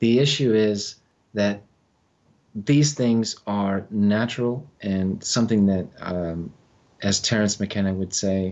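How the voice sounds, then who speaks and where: Very slow in pace, a man speaks with a fairly low pitch and fairly even intonation. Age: 40s. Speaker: psychologist and mycologist. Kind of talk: podcast interview.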